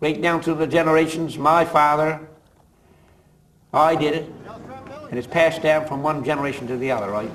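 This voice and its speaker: A man's fairly high-pitched voice at a fairly quick pace, with fairly even intonation, long and frequent pauses, audible room echo and noticeable background noise. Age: 60s. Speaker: fisherman. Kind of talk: interview.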